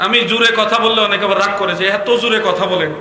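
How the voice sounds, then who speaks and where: A man speaks in a raised, projected voice, and audible room echo surrounds it. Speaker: Islamic preacher. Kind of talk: sermon. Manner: loud; animated.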